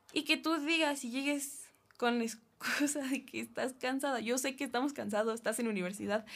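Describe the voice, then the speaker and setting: At a moderate pace, a woman talks in a high pitch. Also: ordinary pitch variation. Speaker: university student. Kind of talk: casual chat. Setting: studio.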